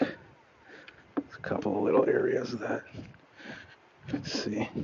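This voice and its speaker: A man's voice with big swings in loudness over noticeable background noise. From Canada. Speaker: lawn care business owner. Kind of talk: live stream chat while working. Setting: outdoors.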